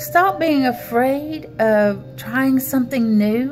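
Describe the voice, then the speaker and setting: Clear music plays in the background. Over it, a woman speaks. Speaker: spiritual reader. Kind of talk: motivational monologue. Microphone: phone near.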